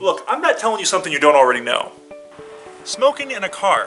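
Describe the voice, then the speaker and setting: Faint music plays in the background as the speech moves at a very fast pace. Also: man. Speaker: mock infomercial host. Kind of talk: comedy parody infomercial. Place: street. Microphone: phone near.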